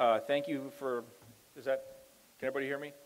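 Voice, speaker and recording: Over music in the background, a man talks loudly with fairly even intonation. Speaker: district attorney. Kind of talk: public speech. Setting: school town hall with audience, microphone.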